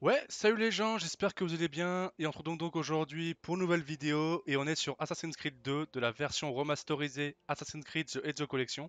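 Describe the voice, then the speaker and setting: Speaking at a fairly quick pace, a man with a fairly high pitch uses ordinary pitch variation. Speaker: gaming youtuber. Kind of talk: gameplay commentary. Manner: hesitant, many fillers.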